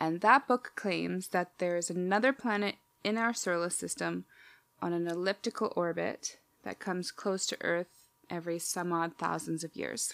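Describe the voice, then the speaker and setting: This is an unremarkable speaking voice with ordinary pitch variation at a moderate pace. The sound is dry and close with no echo. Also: woman, fairly low pitch for a woman. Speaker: podcast host. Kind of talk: casual chat. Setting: video call with headphones.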